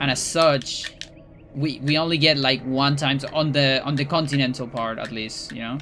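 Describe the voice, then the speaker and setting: Over noticeable background noise, a man with a Spanish accent talks at a moderate pace, his fairly high pitch held in fairly even intonation. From Chile. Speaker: speedrunner and streamer. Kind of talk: casual livestream chat. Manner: halting, many fillers and restarts.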